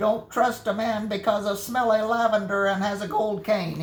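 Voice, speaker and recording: Using a put-on character voice, a woman speaks at a medium pitch in a monotone, flat intonation, with clear background noise. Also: moderate pace. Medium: read story. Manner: growling, gruff.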